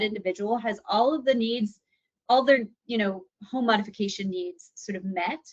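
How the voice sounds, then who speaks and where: Fairly quick and fairly high-pitched, a woman talks with ordinary pitch variation. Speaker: assistive technology specialist. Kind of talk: webinar presentation. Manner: fast.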